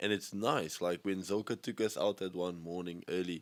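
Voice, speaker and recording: The recording is very clean, dry and close with no echo, over a silent background. A man with a very deep, low pitch speaks at a moderate pace. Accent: South African. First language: Afrikaans. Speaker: skateboarder. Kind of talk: casual chat.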